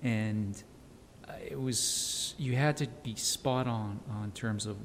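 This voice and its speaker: In an American accent, a man speaks very slowly with fairly even intonation and a fairly low pitch. Audible room echo surrounds his voice. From El Paso, Texas. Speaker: financial advisor. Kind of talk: interview. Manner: halting, many fillers.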